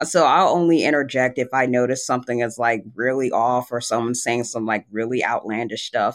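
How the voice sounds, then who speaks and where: A man talks in a normal speaking voice at a medium pitch, with ordinary pitch variation. The background is quiet. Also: fairly quick pace, hardly any pauses. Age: 20s. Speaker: wrestling fan. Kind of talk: casual chat.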